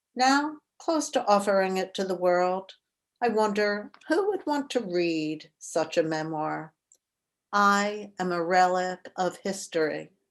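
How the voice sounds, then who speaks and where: Over a quiet background, a woman with a Mid-Atlantic accent speaks at a very slow pace, her medium-pitched voice carrying lively intonation. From Philadelphia, US Mid-Atlantic. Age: 70s. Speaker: memoir author. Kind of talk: reading aloud. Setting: video call.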